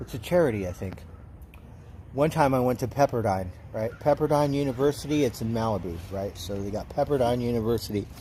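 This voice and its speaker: This man talks at a fairly quick pace with an American accent and a medium pitch. His tone is dark and mellow, somewhat breathy, with lively intonation. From Southern California. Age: 60s. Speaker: livestreamer. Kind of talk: casual chat. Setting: livestream. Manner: rambling with fillers.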